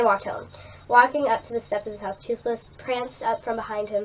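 The intonation is fairly even. The words are read aloud in a natural voice.

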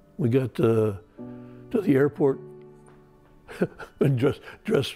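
With clear music in the background, a man speaks in an American accent. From United States. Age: 70s. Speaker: Vietnam war veteran. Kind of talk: interview answer. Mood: reflective, recounting trauma. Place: home room. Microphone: lapel.

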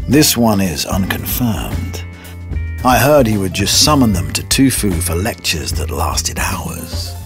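Over clear music in the background, a man talks at a fairly slow pace with very wide pitch swings. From British. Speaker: voice over artist. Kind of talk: documentary-style narration. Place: booth. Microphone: studio mic.

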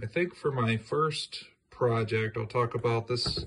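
A somewhat breathy male voice. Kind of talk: casual vlog chat. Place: home room. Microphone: phone near.

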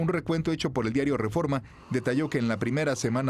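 A man with a fairly high pitch and lively intonation speaks against noticeable background noise. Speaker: news reporter. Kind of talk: scripted narration. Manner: formal.

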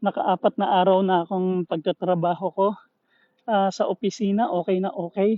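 This man's voice is high-pitched. He holds his intonation fairly even. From Philippines. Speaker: vlogger, engineer. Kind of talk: casual live vlog.

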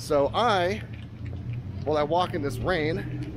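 A man speaks with lively intonation and a dry sound with no echo. Noticeable background noise is present. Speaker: food travel vlogger. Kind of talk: casual vlog chat. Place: street. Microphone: phone near.

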